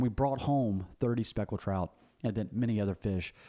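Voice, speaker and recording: With a Southern US accent, a man talks in a dark, mellow tone at a fairly low pitch with ordinary pitch variation. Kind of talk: casual monologue on faith and politics. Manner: halting, many fillers and repetitions.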